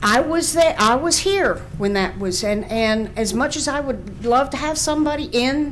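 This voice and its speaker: Her high-pitched voice has lively intonation as the woman speaks at a fairly slow pace amid audible room echo. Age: 60s. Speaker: local business owner. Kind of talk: public hearing testimony. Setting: public hearing. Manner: halting.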